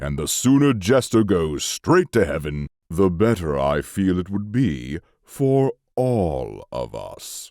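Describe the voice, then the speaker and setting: A man puts on a cartoonish character voice, very deep and low, at a fairly slow pace. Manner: measured, ominous.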